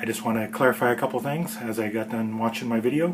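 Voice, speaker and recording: A man rushes through his words very fast, his intonation fairly even, with noticeable background noise around him. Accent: American. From California. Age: middle-aged. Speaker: home cook host. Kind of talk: casual vlog commentary. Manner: halting.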